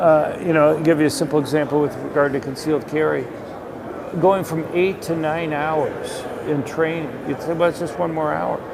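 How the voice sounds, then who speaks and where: There is noticeable background noise and audible room echo as a man talks in a flat monotone at a fairly high pitch. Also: moderate pace. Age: 60s. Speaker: economist and gun policy researcher. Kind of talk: casual interview. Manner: hesitant, many filler words.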